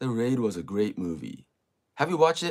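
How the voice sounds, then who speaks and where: At a moderate pace, the speaker talks in a Japanese accent with very wide pitch swings. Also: man. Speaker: livestreamer. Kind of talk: casual chat. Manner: halting.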